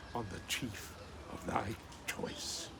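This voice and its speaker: A man talks at a very slow pace while noticeable background noise fills the recording. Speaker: poetry channel host. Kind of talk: poetry reading. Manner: calm.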